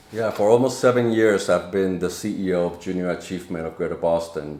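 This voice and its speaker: The speaker talks at a fairly quick pace with ordinary pitch variation, and noticeable background noise is present. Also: man, very deep, low pitch for a man. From Dominican Republic, then Lawrence, Massachusetts from age 13. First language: Spanish. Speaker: nonprofit CEO. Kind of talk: podcast interview.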